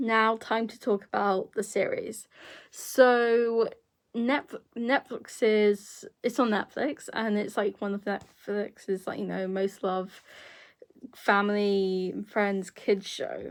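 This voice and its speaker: Speaking very slowly with a British accent, a woman has a fairly high pitch and fairly even intonation, yet big swings in loudness. The recording is very clean with a silent background. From Britain. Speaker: YouTuber. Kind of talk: casual vlog review. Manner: halting, many fillers.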